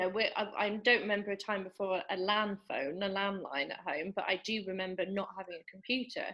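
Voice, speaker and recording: With an English accent, a woman talks at a fairly quick pace, with hardly any pauses and fairly even intonation. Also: medium pitch for a woman. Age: 30s. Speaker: podcast host, channel owner. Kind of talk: casual chat.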